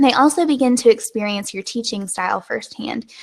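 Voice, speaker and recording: A woman speaks at a fairly quick pace with an American accent. Her voice is fairly high. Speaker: web designer and online business host. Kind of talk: live webinar. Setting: live video stream. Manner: informal.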